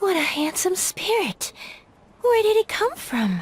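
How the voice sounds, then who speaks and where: This is a put-on character voice. It goes at a fairly slow pace. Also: female-sounding voice, extremely high pitch for a woman. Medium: video game.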